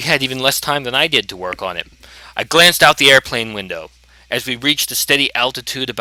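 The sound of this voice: An unforced voice reads with pitch that varies in an ordinary way.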